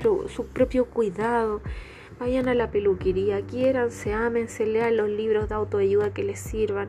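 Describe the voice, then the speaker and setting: Against noticeable background noise, a woman with a Chilean accent speaks in a relaxed tone at a fairly slow pace. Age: 30s. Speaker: podcast host and image consultant. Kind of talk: casual monologue. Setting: bedroom at home.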